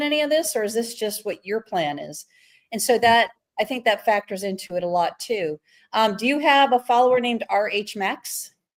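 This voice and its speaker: A woman with a normal speaking voice, fairly high in pitch, at a fairly quick pace, on a very clean recording with a silent background. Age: 60s. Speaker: live stream host. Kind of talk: casual interview. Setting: live stream.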